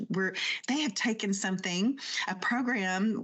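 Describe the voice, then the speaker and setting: The speech moves at a fairly slow pace with ordinary pitch variation, and there is noticeable background noise. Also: woman. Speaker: podcast host. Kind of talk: casual chat. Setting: home office with green screen. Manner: whispering. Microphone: new home podcast equipment.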